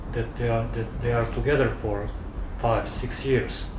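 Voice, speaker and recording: Male speech at a fairly slow pace, with audible room echo and noticeable background noise. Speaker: sports journalist. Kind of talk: interview.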